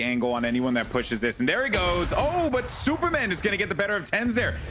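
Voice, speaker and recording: Over background music, the speech moves at a fairly quick pace. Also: man. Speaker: esports caster. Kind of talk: live commentary. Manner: animated.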